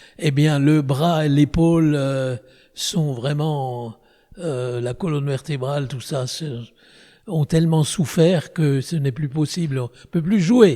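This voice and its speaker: Delivery is very slow. The tone is dark and mellow, with ordinary pitch variation. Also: man, fairly high pitch for a man. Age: 90s. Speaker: orchestra conductor. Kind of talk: interview. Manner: halting, with repetitions.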